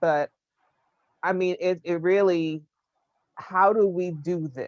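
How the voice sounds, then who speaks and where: With an American accent, a woman has an unremarkable speaking voice at a fairly low pitch with fairly even intonation, in a dry, close sound with no echo. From United States. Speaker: panelist. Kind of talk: panel discussion.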